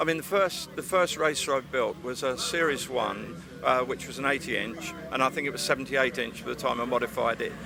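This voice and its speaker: A man's voice at a medium pitch and fairly quick pace, with ordinary pitch variation and music in the background. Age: 70s. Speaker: retired off-road rally driver and car builder. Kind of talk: casual interview. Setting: outdoor motorsport event arena.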